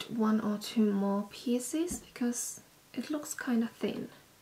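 A woman speaks very slowly in a high voice with a Finnish accent and ordinary pitch variation. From Finland. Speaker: vlogger. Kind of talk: vlog. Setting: outdoors. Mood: relaxed, a bit self-mocking. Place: home room. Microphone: camera far.

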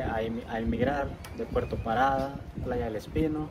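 A man talks at a fairly slow pace with lively intonation. Loud background noise is present. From El Salvador. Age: 40s. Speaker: island resident. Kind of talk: interview. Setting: outdoors. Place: waterside. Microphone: phone near.

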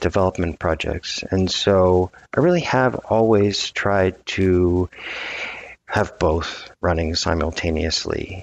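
At a fairly slow pace, a man with an American accent talks in a fairly low pitch with ordinary pitch variation. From US South, New Orleans; Louisiana. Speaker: architect and developer; guest. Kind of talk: interview conversation. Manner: halting, many fillers and repetitions. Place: office. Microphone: headset.

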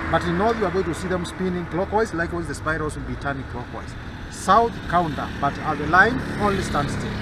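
A man talking fairly quickly with ordinary pitch variation, in dry sound with no echo and noticeable background noise. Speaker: local guide. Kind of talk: demonstration explanation to tourists. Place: street. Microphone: phone near.

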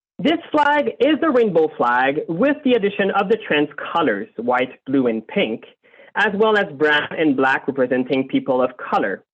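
In a French accent, the speaker keeps a moderate pace and very even loudness while the pitch swings very widely. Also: man, high pitch for a man. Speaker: community group board member. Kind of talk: prepared presentation to city council. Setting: video call.

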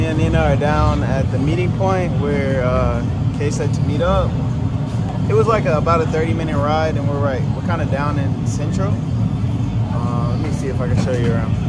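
Music in the background behind a man talking at a moderate speed. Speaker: family travel vlogger. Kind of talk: casual vlog chat. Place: market. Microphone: phone near.

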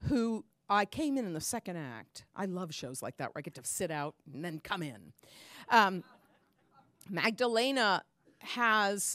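Against a quiet background, a woman speaks at a fairly slow pace in a dry sound with no echo. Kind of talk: song introduction to audience. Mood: warm, chatty. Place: stage. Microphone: handheld.

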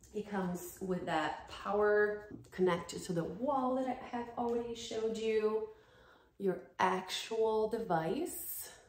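A woman speaks at a fairly slow pace in a fairly high voice with lively intonation. Audible room echo surrounds her. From Brazil. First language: Portuguese. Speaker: dance fitness YouTuber. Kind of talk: sponsored product review. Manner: animated. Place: home room. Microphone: phone near.

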